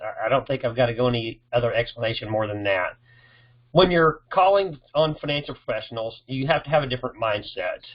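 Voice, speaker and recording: Speaking at a fairly quick pace, a man with a medium-pitched, somewhat breathy voice uses lively intonation. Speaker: sales coach for loan officers. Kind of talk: tutorial. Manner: casual, restarts often.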